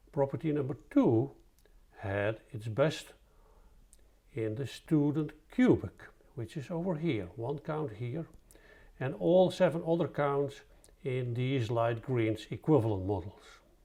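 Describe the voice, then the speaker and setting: A man with a Dutch accent speaks fairly slowly at a fairly high pitch, somewhat breathy and dark, mellow in tone, with lively intonation and long, frequent pauses. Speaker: statistician presenting research. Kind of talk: scripted presentation.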